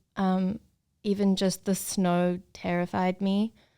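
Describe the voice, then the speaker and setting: On a very clean recording with a silent background, a woman speaks in a monotone, flat intonation at a medium pitch. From South Africa, Cape Town. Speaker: model, photographer and actress. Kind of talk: casual interview chat.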